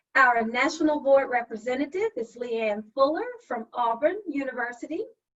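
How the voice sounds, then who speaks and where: A woman's high-pitched voice in a Southern US accent. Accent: Southern drawl. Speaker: session facilitator, HR professional. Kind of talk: virtual meeting facilitation. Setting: video call.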